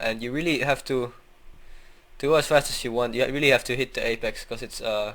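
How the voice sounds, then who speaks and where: A man's medium-pitched voice at a very fast pace. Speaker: sim racing driver. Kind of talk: driving tutorial commentary. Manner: monotone.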